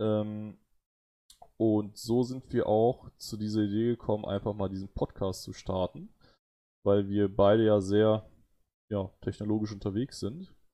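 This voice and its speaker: Against a quiet background, a man with a dark, mellow tone and fairly low pitch speaks at a fairly slow pace, monotone and flat, with long, frequent pauses. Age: 30s. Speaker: podcast host, computer scientist. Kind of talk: casual chat. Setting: live stream.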